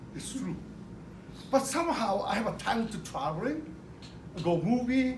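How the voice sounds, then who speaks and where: A man speaks at a moderate pace with a Japanese accent. His pitch swings very widely, and room echo is audible. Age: 60s. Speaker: retired business owner. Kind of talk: speech to an audience. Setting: car dealership event. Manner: halting.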